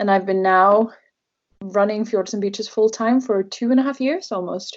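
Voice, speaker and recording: A woman's fairly high voice with a Norwegian accent, ordinary pitch variation and a moderate pace. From Norway. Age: 20s. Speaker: travel blogger. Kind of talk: interview. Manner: hesitant, many fillers.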